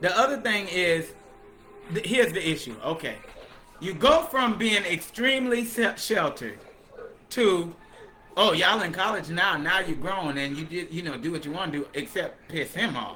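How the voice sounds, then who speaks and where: Over music in the background, a man with a high-pitched voice talks in an animated tone, with very wide pitch swings, big swings in loudness and long, frequent pauses. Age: 30s. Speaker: livestream host, former cult member. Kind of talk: casual livestream chat, testimony. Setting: live stream on Facebook and TikTok. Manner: talkative.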